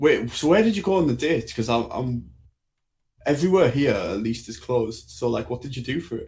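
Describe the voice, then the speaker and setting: Breathing somewhat audibly, a man with a strong English accent talks at a fairly quick pace, his medium-pitched voice rising and falling in lively intonation. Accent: English, thick. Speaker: podcast co-host. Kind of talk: casual chat.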